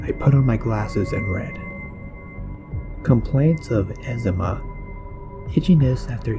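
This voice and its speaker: Lively intonation from a man at medium pitch, very slow, with music in the background. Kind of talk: horror story narration, first-person creepypasta reading.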